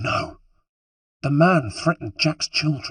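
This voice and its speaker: In a put-on character voice, a man sounds raspy at a fairly high pitch and speaks fairly slowly. The sound is dry and close, with no echo. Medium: read story. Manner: deferential, addresses him as sir and master.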